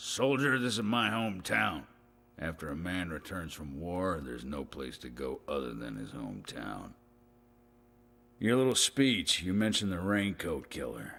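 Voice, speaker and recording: Putting on a character voice, a man speaks at a moderate pace with a very deep, low pitch, very wide pitch swings and big swings in loudness. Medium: video game. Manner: gruff, barking, condescending.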